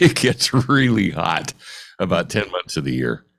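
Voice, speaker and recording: The pitch swings very widely. Vocal fry runs through the voice. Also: man. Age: 70s. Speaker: retired appraiser, appraiser advocate. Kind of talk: casual interview. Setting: home office. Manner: halting, repeats words.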